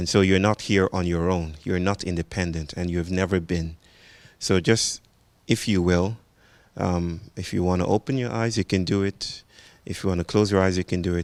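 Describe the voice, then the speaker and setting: A man with a Nigerian accent speaks at a moderate pace in a very deep, low voice with fairly even intonation. The recording is very clean, dry and close, with a silent background and no echo. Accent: Nigerian (Yoruba) English. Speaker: speaker and teacher. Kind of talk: public talk with guided grounding.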